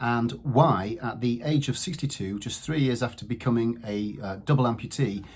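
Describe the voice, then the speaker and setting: Noticeable background noise is present. A man talks through it. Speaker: channel host introducing the videos. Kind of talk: channel intro to camera.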